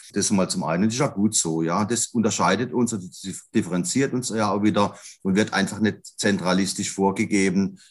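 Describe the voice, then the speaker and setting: A man with a fairly low pitch speaks at a moderate pace with ordinary pitch variation, in an ordinary speaking voice. The recording is very clean, with a silent background. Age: 50s. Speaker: grocery retail executive, trained butcher. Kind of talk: podcast interview.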